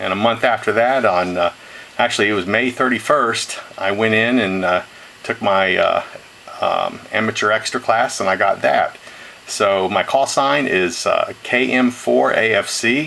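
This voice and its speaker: Fairly slow pace, very even loudness, noticeable background noise. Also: man. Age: 60s. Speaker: retired engineer and ham radio hobbyist. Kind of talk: video message. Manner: halting, many fillers.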